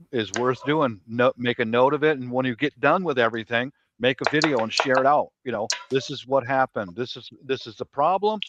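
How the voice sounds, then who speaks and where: This man has a medium pitch, ordinary pitch variation and an unremarkable speaking voice. He talks at a fairly quick pace with big swings in loudness, and the sound is dry and close with no echo. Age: 60s. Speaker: prepper panelist on a live stream. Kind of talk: casual panel chat.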